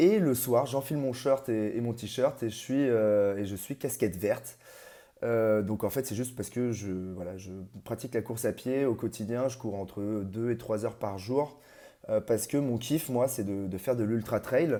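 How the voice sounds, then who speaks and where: In a very clean recording with a silent background, a man speaks at a medium pitch in a dark, mellow tone with ordinary pitch variation. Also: moderate pace. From Paris region, France. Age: 30s. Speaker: amateur ultra trail runner. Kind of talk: interview. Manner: halting, many hesitations.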